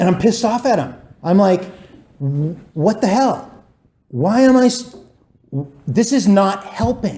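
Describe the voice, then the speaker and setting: The speaker talks loudly in an animated tone with lively intonation, at a fairly slow pace broken by long, frequent pauses. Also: man, high pitch for a man. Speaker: recovery meeting speaker. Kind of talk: testimony.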